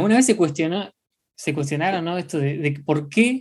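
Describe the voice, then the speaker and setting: Fairly quick delivery with a Rioplatense accent. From Argentina. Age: 20s. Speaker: podcast co-host. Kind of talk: casual chat.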